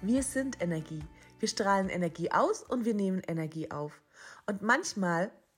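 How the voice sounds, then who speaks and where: With a gentle, somewhat breathy tone, a woman speaks at a moderate pace with lively intonation. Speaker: spiritual mentor and podcast host. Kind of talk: guided meditation. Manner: soft, gentle, hushed with long pauses.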